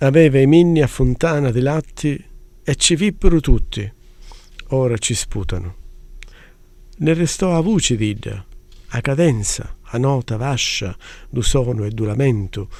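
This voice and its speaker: A man's medium-pitched voice with lively intonation, a fairly slow pace, and long, frequent pauses. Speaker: translator. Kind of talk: poetry reading.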